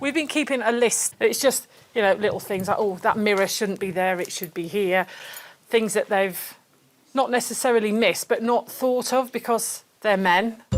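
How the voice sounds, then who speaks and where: A woman at a moderate pace, with a Yorkshire accent. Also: fairly high pitch for a woman, ordinary pitch variation. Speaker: holiday guest, aunt of the owner. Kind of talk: casual chat.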